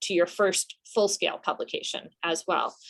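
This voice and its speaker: The speaker has a normal speaking voice. The pace is fairly slow. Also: woman. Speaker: journal editor and workshop presenter. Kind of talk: workshop presentation. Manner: casual with many filler ums.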